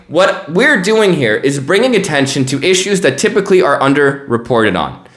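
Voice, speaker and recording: Over noticeable background noise and audible room echo, a man with an American accent swings his pitch very widely. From United States. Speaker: news podcast host. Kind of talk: news commentary podcast. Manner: casual, conversational.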